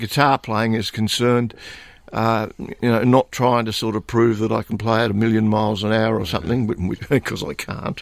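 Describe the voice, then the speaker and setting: On a very clean recording with a silent background, a man with an Australian accent talks at a moderate pace and medium pitch. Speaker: blues guitarist and singer. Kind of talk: radio interview. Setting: radio studio. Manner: halting, many fillers and repetitions.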